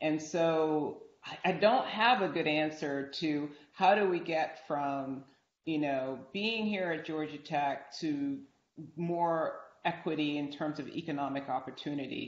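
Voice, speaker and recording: A woman with a very deep, low pitch and an American accent talks at a fairly slow pace with ordinary pitch variation, and the room echo is audible. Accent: American-sounding. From outside the US. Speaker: university dean; panelist. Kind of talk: moderated panel discussion; panel discussion answer. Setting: video call. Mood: earnest, reflective. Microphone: video call.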